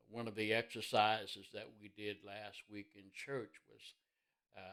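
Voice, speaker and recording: Fairly slow and monotone, a man with an Indiana accent speaks at a fairly low pitch in a bright, sharp tone. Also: big swings in loudness. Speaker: minister. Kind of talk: sermon-style devotional talk.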